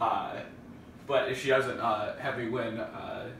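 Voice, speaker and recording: Room echo is audible. There is light background noise. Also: man. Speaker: family video host. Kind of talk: casual vlog chat. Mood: playful, joking. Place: kitchen.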